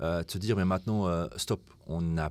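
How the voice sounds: The tone is clear, smooth and slightly mellow, with fairly even intonation. Speech moves at a moderate pace. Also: man.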